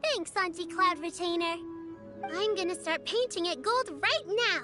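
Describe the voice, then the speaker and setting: A put-on character voice at an extremely high pitch moves at a moderate pace as clear music plays in the background. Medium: video game. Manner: upbeat.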